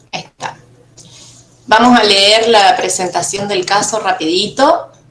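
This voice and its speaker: With noticeable background noise around her, a woman talks at a fairly slow pace. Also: medium pitch for a woman, ordinary pitch variation. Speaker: university lecturer. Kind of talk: online class.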